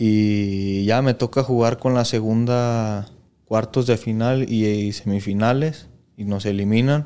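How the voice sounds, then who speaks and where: On a very clean recording with a silent background, a man speaks at a very slow pace with a dark, mellow tone, medium pitch and fairly even intonation. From Mexico, Jalisco (Lagos de Moreno). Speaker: professional footballer. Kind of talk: casual interview chat.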